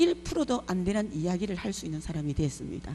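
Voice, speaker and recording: Noticeable background noise sits under speech that has an animated tone. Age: 60s. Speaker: preacher. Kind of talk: sermon.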